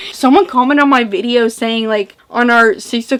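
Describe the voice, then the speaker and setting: Against noticeable background noise, a woman speaks with a fairly high pitch and ordinary variation in it. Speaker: booktuber. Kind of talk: casual vlog chat. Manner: animated; slurred.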